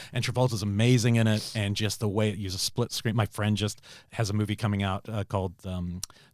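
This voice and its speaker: In a very clean recording with a silent background, a man talks at a fairly quick pace, fairly low in pitch and monotone with flat intonation. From New Zealand. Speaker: film director and podcaster. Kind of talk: casual chat.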